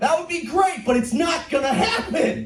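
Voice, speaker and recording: Music plays in the background, and there is audible room echo. A man speaks loudly with an American accent and an animated tone. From US Pacific Northwest, Portland. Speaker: comedian. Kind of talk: stand-up. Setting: stage with audience.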